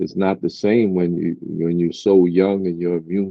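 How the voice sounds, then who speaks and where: The voice has a Brooklyn accent and a monotone, flat intonation. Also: man. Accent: New York (Brooklyn). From Brooklyn, New York. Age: 50s. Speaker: rapper. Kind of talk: interview.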